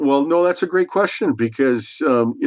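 Against a quiet background, a man speaks. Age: 60s. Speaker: small business owner and author. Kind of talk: interview. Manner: halting, many fillers and repeated words.

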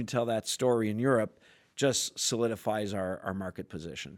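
This man has an ordinary speaking voice with ordinary pitch variation. He speaks at a moderate pace in a very clean recording with a silent background. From Canada (French Canadian). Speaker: sales executive. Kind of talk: casual interview chat.

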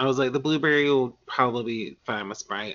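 Talking at a fairly quick pace, a man with a Southern US accent uses a medium pitch and ordinary pitch variation. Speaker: podcast host. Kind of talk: casual chat.

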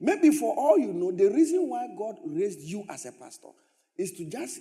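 A man with a Ghanaian accent speaks in a dark, mellow tone with very wide pitch swings. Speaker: pastor. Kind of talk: sermon. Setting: church.

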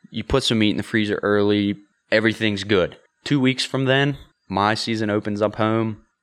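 A man with an American accent, a normal speaking voice, fairly even intonation and a moderate pace. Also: fairly low pitch for a man. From western Pennsylvania (Ford City area). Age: 20s. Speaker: bowhunter and outdoor content creator. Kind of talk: casual chat. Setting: host's garage.

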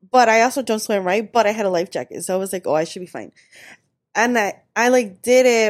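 The recording is very clean, with a silent background. A woman with a plain, everyday voice talks fairly quickly at a fairly high pitch with ordinary pitch variation. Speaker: podcast co-host. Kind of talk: casual chat.

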